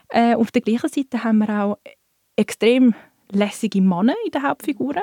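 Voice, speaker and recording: At a moderate pace, a woman talks in an unremarkable speaking voice with ordinary pitch variation. The sound is dry and close, with no echo. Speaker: bookseller. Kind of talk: casual chat.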